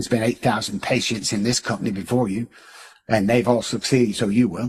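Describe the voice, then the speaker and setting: The man's voice is somewhat breathy, with a medium pitch. He talks at a fairly quick pace. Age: 60s. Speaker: addiction and mindset coach. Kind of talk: podcast interview. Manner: animated, emphatic.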